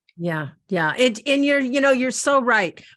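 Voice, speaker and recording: Bright, sharp tone over a quiet background. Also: woman. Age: 60s. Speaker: radio host. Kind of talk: interview. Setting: radio show.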